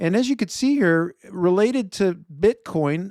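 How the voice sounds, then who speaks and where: A man speaks in a Chicago accent with ordinary pitch variation. The very clean recording has a silent background and a dry, close sound with no echo. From Chicago, US Midwest. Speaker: investment show host. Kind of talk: solo market commentary video. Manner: conversational, some self-corrections.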